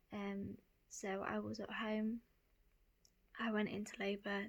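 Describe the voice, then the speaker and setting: A woman with an English accent speaks at a medium pitch in a flat, monotone delivery. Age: 20s. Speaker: young mother. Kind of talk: storytime vlog. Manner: halting, frequent ums.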